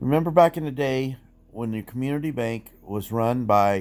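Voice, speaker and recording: Ordinary pitch variation and a moderate pace mark a normal speaking voice. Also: man. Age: 60s. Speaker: commentary vlogger. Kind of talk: casual monologue. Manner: conversational, some stumbles.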